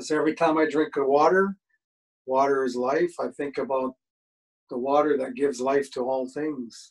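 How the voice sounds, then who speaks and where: Over a quiet background, a man with a fairly high pitch talks at a moderate pace with ordinary pitch variation. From Canada, British Columbia (Squamish). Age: 60s. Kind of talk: storytelling talk. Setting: video call. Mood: calm, reflective. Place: home room.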